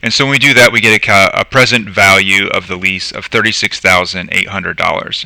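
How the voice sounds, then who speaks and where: A fairly quick pace with a bright, sharp tone. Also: man. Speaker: accounting lecturer. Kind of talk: live lecture. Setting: live stream. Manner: fast.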